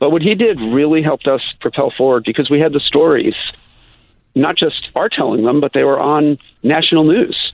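Here a man has an unremarkable speaking voice with a fairly high pitch. He keeps a moderate pace, ordinary pitch variation and very even loudness. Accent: American. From US Midwest, Chicago. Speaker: city council member and LGBTQ activist. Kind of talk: interview. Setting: phone call.

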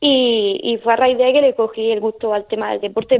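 A woman in a Murcian accent, with a fairly high pitch and fairly even intonation. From Murcia, Spain. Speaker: para-taekwondo athlete. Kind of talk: radio interview.

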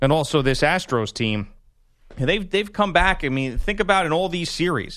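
The intonation is lively. The pace is moderate. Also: man, fairly high pitch for a man. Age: 30s. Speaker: sports radio host. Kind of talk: casual chat. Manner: animated.

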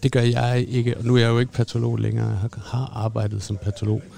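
This man's voice sits fairly low in pitch. His intonation is fairly even. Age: 30s. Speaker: doctor, former pathologist. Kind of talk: casual chat. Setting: restaurant. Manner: hesitant, many fillers.

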